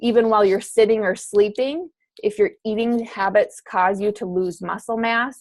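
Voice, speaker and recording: A woman's normal speaking voice at medium pitch, with ordinary pitch variation and a moderate pace. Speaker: fitness coach. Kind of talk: online course lecture.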